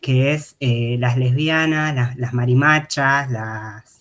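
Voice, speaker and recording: This man talks very slowly with an Argentine accent. His intonation is fairly even, and the recording is very clean with a silent background. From Argentina, interior provinces. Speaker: academic researcher presenting thesis. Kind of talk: academic talk. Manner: hesitant, many fillers.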